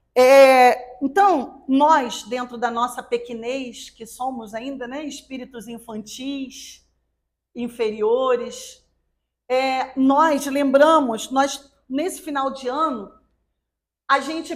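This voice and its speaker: A woman with a high-pitched voice speaks at a very slow pace, with ordinary pitch variation and big swings in loudness. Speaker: spiritist lecturer. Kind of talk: religious talk.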